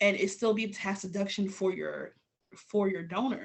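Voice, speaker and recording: A woman's medium-pitched, somewhat breathy voice with an American accent and fairly even intonation. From New York City (Queens). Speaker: business owner teaching a web class. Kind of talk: web class presentation. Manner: casual, filler-heavy.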